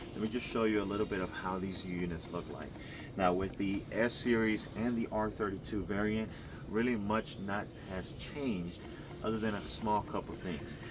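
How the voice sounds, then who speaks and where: Audible room echo surrounds a man whose fairly low voice keeps fairly even intonation. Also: moderate pace. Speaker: HVAC contractor presenting installation video. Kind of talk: on-site tutorial walkthrough.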